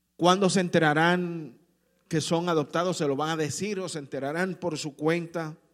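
With a warm tone and high pitch, a man speaks at a moderate pace in a flat monotone on a very clean recording with a silent background. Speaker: pastor. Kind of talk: sermon. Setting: church. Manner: warm, earnest preaching pace, direct appeals to the congregation.

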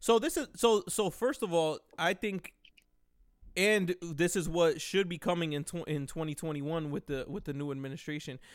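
The recording is very clean, the background silent. A man talks at a moderate pace with a high pitch and ordinary pitch variation. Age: 30s. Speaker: podcast host. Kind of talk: casual chat.

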